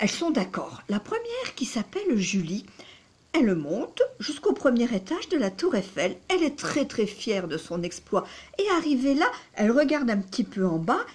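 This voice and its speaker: A woman speaks at a moderate pace in a high voice with very wide pitch swings. Noticeable background noise runs underneath. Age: 60s. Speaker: psychotherapist and dating coach. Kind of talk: storytelling to camera. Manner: hesitant, many fillers.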